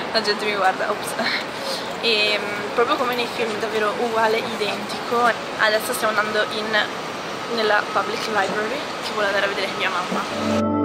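Loud background noise runs behind a woman speaking at a moderate pace. She leaves long, frequent pauses. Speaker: travel vlogger. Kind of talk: casual vlog chat. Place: street. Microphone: phone near.

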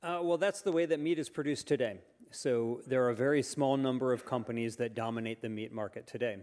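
With ordinary pitch variation, a man's speech proceeds at a moderate pace. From United States. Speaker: author; panel expert. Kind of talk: panel discussion. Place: hall. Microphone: handheld.

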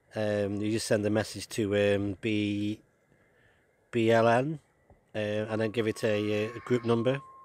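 At a fairly slow pace, a man speaks with a fairly low pitch, a slightly mellow tone and little pitch movement.

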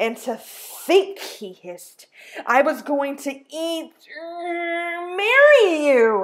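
A high-pitched, hissing put-on character voice from a woman, very slow and broken by long, frequent pauses

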